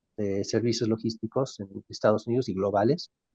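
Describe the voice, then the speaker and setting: In a dry, close recording with no echo, a man talks at a moderate pace in a dark, mellow tone. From Mexico. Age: 60s. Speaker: logistics company CEO. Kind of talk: interview.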